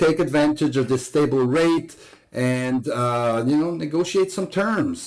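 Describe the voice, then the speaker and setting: Here a man is talking. The rise and fall of his pitch is ordinary. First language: not English. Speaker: real estate agent. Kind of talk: market update presentation. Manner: hesitant, many fillers.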